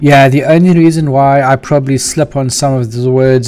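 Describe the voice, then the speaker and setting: A man with a slight South African accent. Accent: light South African. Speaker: programmer live-streamer. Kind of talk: live-stream coding chat. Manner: slight stutter on R sounds; casual, chatty. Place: home room.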